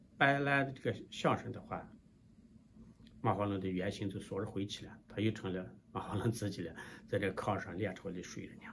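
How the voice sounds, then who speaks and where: A somewhat breathy male voice at a moderate pace, with ordinary pitch variation and light background noise. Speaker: storyteller. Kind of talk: folk tale storytelling to camera. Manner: casual, hesitant with fillers. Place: office. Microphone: phone near.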